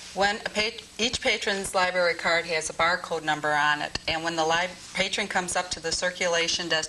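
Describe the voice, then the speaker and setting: Noticeable background noise runs under the speech. A woman talks at a moderate pace with a fairly low pitch. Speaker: library staff member. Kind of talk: on-camera interview. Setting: studio. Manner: loud, forced projection.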